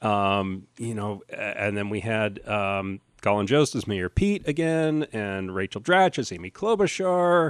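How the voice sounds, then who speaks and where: A man with an American accent swings his pitch very widely against a quiet background. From New Jersey. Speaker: podcast host, comedian. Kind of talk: casual chat.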